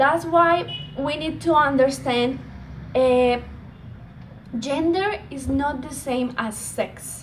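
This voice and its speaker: With a Colombian accent and a high pitch, a woman speaks at a very slow pace with long, frequent pauses, big swings in loudness and ordinary pitch variation, over noticeable background noise and audible room echo. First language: Spanish. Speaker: speaker on women's empowerment. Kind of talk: presentation talk. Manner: halting, many fillers.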